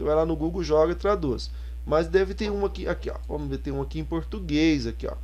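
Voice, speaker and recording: Audible room echo fills the space. A man speaks at a fairly quick pace within it. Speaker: Bible teaching YouTuber. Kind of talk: software tutorial. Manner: fast; casual, with many fillers.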